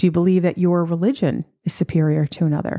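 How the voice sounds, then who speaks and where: Talking at a fairly quick pace, a woman with an American accent uses a dark, mellow tone at a fairly low pitch with ordinary pitch variation. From US Northeast, New York. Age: 50s. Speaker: podcast host, spiritual and wellness teacher. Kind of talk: solo podcast monologue.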